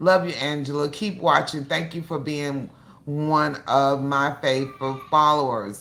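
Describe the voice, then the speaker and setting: This woman has a very deep, low voice and speaks at a fairly slow pace. Her intonation is fairly even, and there is audible room echo. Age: 60s. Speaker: cooking channel host. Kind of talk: casual livestream chat. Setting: livestream.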